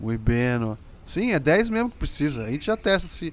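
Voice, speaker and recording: At a moderate pace, the voice moves through very wide pitch swings in an animated tone. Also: man. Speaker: gaming youtuber. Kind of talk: gameplay commentary.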